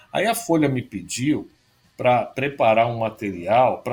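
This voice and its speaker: His voice is somewhat breathy and fairly high for a man. The man speaks at a moderate pace. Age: 50s. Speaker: foreign correspondent journalist. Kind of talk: casual chat.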